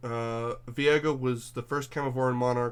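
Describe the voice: The plain reading aloud keeps a fairly even intonation.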